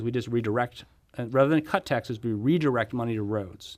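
A normal speaking voice with an American accent talks at a fairly quick pace. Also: man. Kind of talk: casual political interview. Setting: studio.

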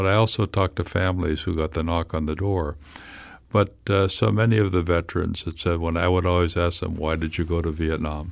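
With a quiet background, a man with an American accent speaks at a fairly quick pace in a very deep, low voice with fairly even intonation. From US Midwest, Illinois. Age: 70s. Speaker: historian and author. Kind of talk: radio interview. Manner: halting, with many repetitions.

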